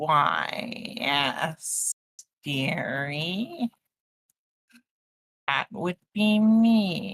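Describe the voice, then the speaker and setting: Speaking in a put-on character voice, this creaky, middle-pitched delivery moves at a very slow pace with long, frequent pauses. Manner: slow, creaky.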